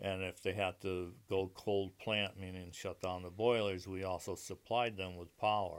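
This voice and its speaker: On a very clean recording with a silent background, a man with an American accent and a very deep, low voice talks in a flat monotone at a moderate pace with hardly any pauses. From Connecticut, Meriden. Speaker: Vietnam war veteran. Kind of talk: casual interview, life story.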